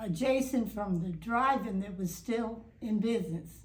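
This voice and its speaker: A woman with a fairly high pitch speaks at a fairly slow pace, sounding somewhat breathy. Audible room echo surrounds her voice. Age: 90s. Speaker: long-time local resident interviewed for oral history. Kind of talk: oral history interview. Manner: halting, many fillers and restarts.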